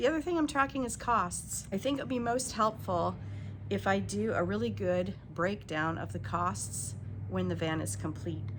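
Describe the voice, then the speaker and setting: A moderate pace with audible room echo. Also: woman. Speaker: DIY van builder, vlogger. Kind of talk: casual vlog talk. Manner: hesitant, many fillers.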